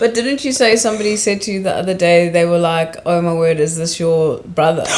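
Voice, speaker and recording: Through audible room echo and noticeable background noise, a woman at a fairly low pitch speaks at a fairly quick pace with ordinary pitch variation. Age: 30s. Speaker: podcast host. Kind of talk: casual chat.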